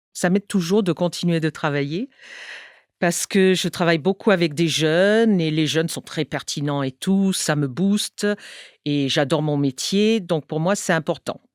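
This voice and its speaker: A woman's fairly low voice with ordinary pitch variation, in a very clean recording with a silent background and a dry, close sound with no echo. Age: 60s. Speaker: English teacher, cancer patient. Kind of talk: testimony. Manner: halting, many hesitations.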